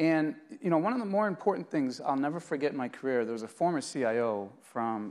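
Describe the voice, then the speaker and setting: The speaker talks at a fairly quick pace with a Boston accent. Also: very clean recording, silent background. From Boston area, US. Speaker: IT executive, customer. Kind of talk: interview at conference. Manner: hesitant, with fillers.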